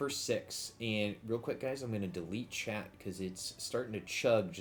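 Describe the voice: Ordinary pitch variation in a plain reading aloud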